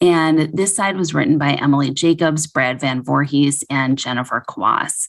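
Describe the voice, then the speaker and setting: The speaker has a Midwestern accent and a moderate pace. There are hardly any pauses, and the pitch varies in an ordinary way. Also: woman, very deep, low pitch for a woman. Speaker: podcast co-host, fertility physician. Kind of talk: podcast discussion.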